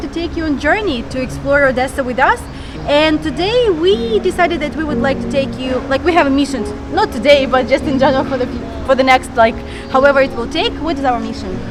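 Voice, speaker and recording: Over music in the background, a woman talks very fast in a high pitch with ordinary pitch variation. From Ukraine, Odesa. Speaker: vlogger. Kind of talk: casual vlog talk to camera.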